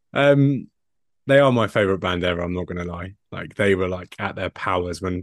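This man has a very deep, low pitch. He talks at a moderate pace with ordinary pitch variation. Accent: English. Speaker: podcast co-host, sports editor. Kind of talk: casual chat.

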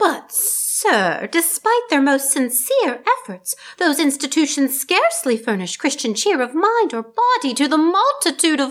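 Moderate-paced speech with very wide pitch swings and hardly any pauses. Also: woman, high pitch for a woman. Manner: earnest, pleading.

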